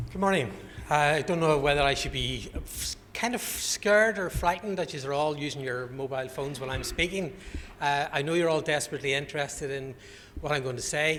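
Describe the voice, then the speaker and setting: A man with a Northern Irish accent, fairly high in pitch and fairly quick in pace, with audible room echo and noticeable background noise. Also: ordinary pitch variation. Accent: Northern Irish (Belfast). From Northern Ireland, Belfast. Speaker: conference speaker, health alliance representative. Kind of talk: conference presentation. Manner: informal, joking.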